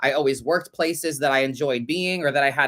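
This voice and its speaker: The speech comes at a very fast pace in an animated tone. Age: 30s. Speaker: tarot reader and podcast host. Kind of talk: casual livestream podcast chat. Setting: livestream.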